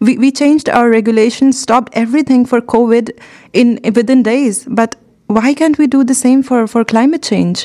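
A woman with a high pitch and a dark, mellow tone holds very even loudness and fairly even intonation. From India. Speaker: interviewer. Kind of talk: interview.

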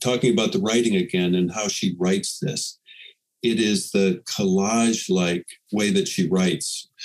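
A man with an ordinary speaking voice talks at a moderate pace, his fairly low pitch moving with ordinary variation. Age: 60s. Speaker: poet and magazine editor. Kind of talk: casual chat.

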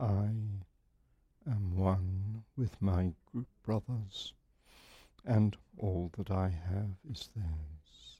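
At a very slow pace with long, frequent pauses, a man speaks in a solemn, calm tone that is dark, mellow and somewhat breathy, at a fairly low pitch with ordinary pitch variation. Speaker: meditation group leader. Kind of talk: guided meditation. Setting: live group meeting broadcast online. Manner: slow, calm, measured; formal, solemn.

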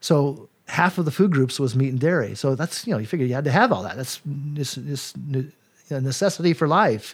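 Somewhat breathy, this voice moves at a fairly quick pace with lively intonation. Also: man, fairly high pitch for a man, very clean recording, silent background. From Colorado. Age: 60s. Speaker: personal trainer. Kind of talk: casual interview chat.

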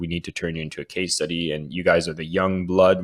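The speaker is a man. He talks with a Canadian accent. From Canada. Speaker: author and sales coach. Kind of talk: interview conversation. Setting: remote call.

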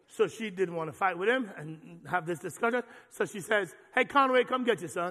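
A man speaks at a fairly quick pace in a high, raised and projected voice, his animated tone carried by lively intonation and big swings in loudness. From Jamaica. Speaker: pastor. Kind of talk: sermon. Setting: church.

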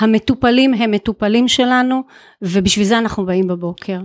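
This woman's intonation stays fairly even. The recording is very clean with a silent background, and the sound is dry and close with no echo. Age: 50s. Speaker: chief nurse. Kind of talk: interview. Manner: halting.

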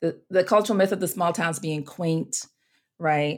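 A woman with an American accent and a fairly low pitch, an ordinary speaking voice with ordinary pitch variation, on a very clean recording with a silent background. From US Virgin Islands (Saint Croix). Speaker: seminary professor and minister. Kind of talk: interview conversation.

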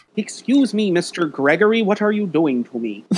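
A put-on character voice. The pitch sits in the middle range. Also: moderate pace. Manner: comical, pleading.

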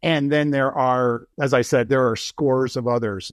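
A man speaks in an ordinary speaking voice at a moderate pace. His intonation stays fairly even over a quiet background. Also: dry, close sound with no echo. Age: 60s. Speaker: professor. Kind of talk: interview.

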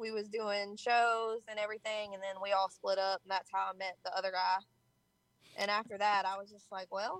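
Her Southern US accent comes through at a moderate pace, her intonation monotone and flat. This woman has a medium pitch and big swings in loudness. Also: dry, close sound with no echo. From Georgia, US South. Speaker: rapper. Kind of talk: interview.

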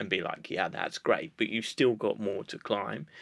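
The recording is very clean, with a silent background. On it, a man talks. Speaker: podcast host. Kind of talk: interview chat. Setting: studio.

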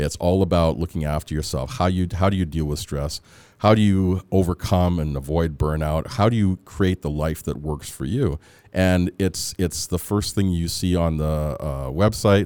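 With a western Canadian accent, a man speaks at a moderate pace in a very deep, low pitch with ordinary variation and a dark, mellow tone, on a very clean, dry, close recording with a silent background and no echo. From Canada, Edmonton, Alberta (born in Antigua, moved at 3-4). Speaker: psychologist. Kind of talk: interview.

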